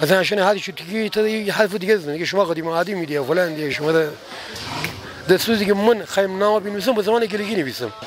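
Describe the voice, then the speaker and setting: A man talks at a very fast pace in a high voice. His pitch varies in an ordinary way, over noticeable background noise. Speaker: passerby interviewee. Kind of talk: street interview.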